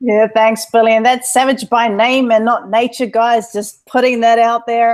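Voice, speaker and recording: A woman speaks in a fairly high voice, her intonation monotone and flat and her loudness very even. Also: moderate pace. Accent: slight New Zealand. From New Zealand. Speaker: online entrepreneur, webinar co-host. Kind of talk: webinar presentation. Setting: live online webinar.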